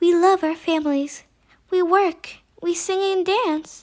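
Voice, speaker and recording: Using a squeaky put-on character voice at an extremely high pitch, a woman speaks at a fairly slow pace with a gentle, calm tone. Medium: read story.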